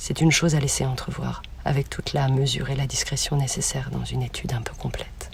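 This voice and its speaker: Talking at a very fast pace, a woman is heard with audible room echo. Noticeable background noise runs throughout. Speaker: student. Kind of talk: reading aloud. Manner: formal.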